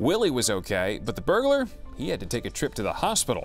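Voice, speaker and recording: Music can be heard behind the speaker. He is a man talking very fast. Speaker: news anchor. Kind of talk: TV news read.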